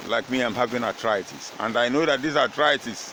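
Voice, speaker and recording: With clear background noise around him, a man talks at an even, middling speed, his pitch rising and falling in the usual way. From Nigeria. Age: 70s. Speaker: retired footballer. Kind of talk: interview. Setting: at his home. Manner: halting.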